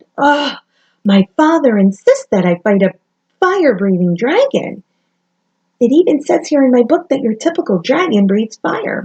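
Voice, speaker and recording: A woman's squeaky, put-on character voice, high-pitched with very wide pitch swings, at a moderate pace, with a dry, close sound and no echo. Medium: read story. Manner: stammering, nervous.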